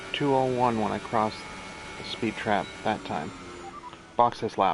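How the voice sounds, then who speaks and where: Over noticeable background noise, a man with a fairly low pitch and ordinary pitch variation talks at a fairly slow pace. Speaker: gaming streamer. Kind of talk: gameplay commentary. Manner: casual, rambling to self.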